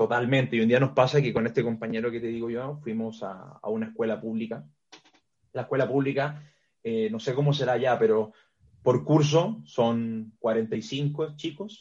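A man's unremarkable speaking voice, medium in pitch, with ordinary pitch variation and a moderate pace. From Chile. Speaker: strength and conditioning coach. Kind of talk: interview.

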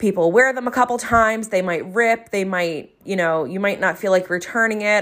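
A woman at a medium pitch and moderate pace, with a South Jersey accent and ordinary pitch variation. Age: 30s. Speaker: podcast host, entrepreneur and coach. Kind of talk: solo podcast monologue, casual and conversational.

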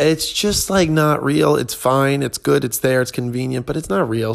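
This man has an ordinary speaking voice, fairly high in pitch and at a fairly quick pace. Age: 20s. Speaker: podcast host, tennis coach and stand-up comedian. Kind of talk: casual solo monologue. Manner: casual, filler-heavy with frequent ums.

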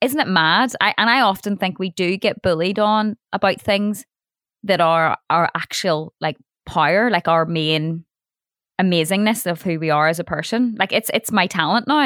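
A woman with a fairly low voice speaks at a moderate pace with lively intonation. The sound is dry and close, with no echo. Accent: Northern Irish. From Northern Ireland. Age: 30s. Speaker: radio broadcaster and DJ. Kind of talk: casual chat.

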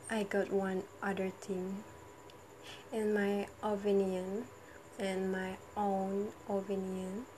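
Very slow speech with long, frequent pauses comes in a flat monotone over noticeable background noise. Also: woman, medium pitch for a woman. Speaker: university student. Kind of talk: monologue vlog. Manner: halting; laughs often.

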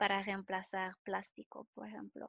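A woman of medium pitch speaks with a French accent, the sound dry and close with no echo. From France. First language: French (speaking Spanish). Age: 20s. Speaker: chemist in cosmetics. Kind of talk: casual chat.

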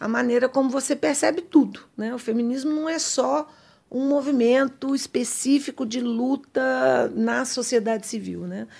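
This woman's high-pitched voice shows ordinary pitch variation and moves at a moderate pace. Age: 50s. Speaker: political science professor. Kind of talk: interview.

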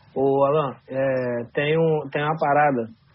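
A man speaks with a fairly high pitch. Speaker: podcast co-host. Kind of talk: podcast conversation. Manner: animated.

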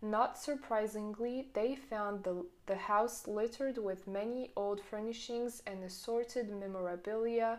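A woman with a French accent talks at a fairly slow pace, her fairly high pitch held in fairly even intonation. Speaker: podcaster. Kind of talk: audiobook reading aloud. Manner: steady, measured reading pace; mostly formal, occasionally stumbles and corrects herself.

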